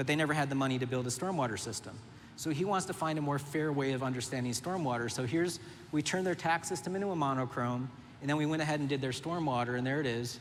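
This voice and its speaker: With audible room echo, a man speaks very fast in an animated tone, his fairly high voice showing ordinary pitch variation. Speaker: urban planner. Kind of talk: conference talk.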